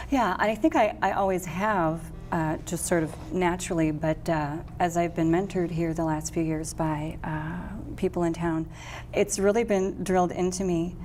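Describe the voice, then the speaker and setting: A woman with an American accent, fairly low in pitch, at a moderate pace, with audible room echo. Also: fairly even intonation. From Wisconsin, Milwaukee. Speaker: jazz singer and vocal coach. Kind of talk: interview conversation.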